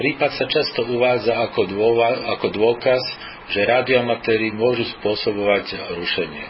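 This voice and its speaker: Over noticeable background noise, a man speaks at a moderate pace. His medium pitch stays in fairly even intonation. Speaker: amateur radio news presenter. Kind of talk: news reading. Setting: radio broadcast. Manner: formal.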